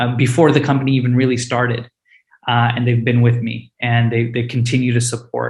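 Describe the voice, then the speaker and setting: Somewhat breathy, a man talks at a medium pitch. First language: Hindi. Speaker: startup founder and CEO. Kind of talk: panel interview. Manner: many filler words (uh, um).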